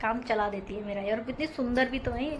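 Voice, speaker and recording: Noticeable background noise and audible room echo surround the speaker. She is a woman whose pitch varies in an ordinary way. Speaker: housewife vlogger. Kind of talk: vlog voice-over narration. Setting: home, voice-over recorded at 5 am. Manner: casual, chatty.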